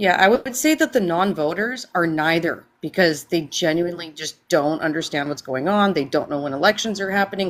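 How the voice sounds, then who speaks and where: An unremarkable speaking voice moves at a fairly quick pace with hardly any pauses. The intonation is lively. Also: woman. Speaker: stream panelist. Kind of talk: casual political discussion.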